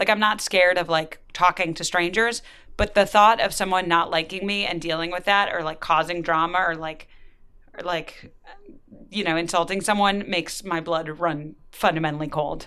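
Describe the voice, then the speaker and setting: A woman speaks at a moderate pace in a normal speaking voice. Her pitch is fairly low and her intonation fairly even. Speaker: writer and podcast host. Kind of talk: interview.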